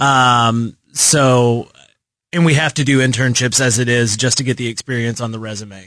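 Using a bright, sharp tone, a man of medium pitch speaks at a moderate pace. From Texas, Lubbock. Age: 20s. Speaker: marketing intern. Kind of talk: casual chat. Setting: radio studio.

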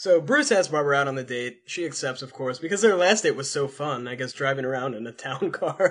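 A man with a plain, everyday voice speaks with an American accent at a fairly high pitch. His loudness swings widely while his pitch variation stays ordinary. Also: fairly quick pace, hardly any pauses. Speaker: podcast host. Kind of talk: casual chat.

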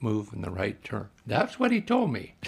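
A man speaks in a somewhat breathy voice. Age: 90s. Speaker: retired brain surgeon. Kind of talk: interview recollection.

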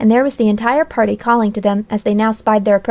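What you hear is plain reading aloud.

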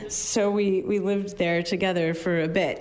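With audible room echo, a woman in an American accent speaks with fairly even intonation. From Arizona. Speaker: librarian and community organizer. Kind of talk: storytelling performance. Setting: stage with audience. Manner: halting, many fillers.

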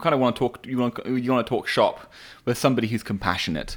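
In a very clean recording with a silent background, a man with an English accent speaks at a very fast pace. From England. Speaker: podcast co-host. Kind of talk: casual chat. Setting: casual conversation while smoking cigars. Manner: hesitant, filled with pauses.

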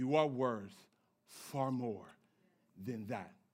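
A man's animated, playful tone with audible room echo. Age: 30s. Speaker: pastor. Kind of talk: sermon, lively conversational church preaching with congregation call-and-response. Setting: church with live congregation. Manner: animated, playful and joking, riffing with the crowd; emphatic, punchy declarations drawing amens.

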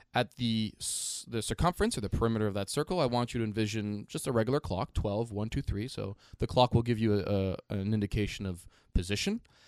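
A man rushes along at a very fast pace with ordinary pitch variation. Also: fairly low pitch for a man, hardly any pauses. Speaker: podcast co-host. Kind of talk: casual explainer chat.

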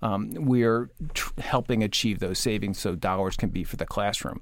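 Recorded very cleanly against a silent background, a man with a normal speaking voice talks at a moderate pace and a medium pitch. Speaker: education association executive. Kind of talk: radio panel discussion.

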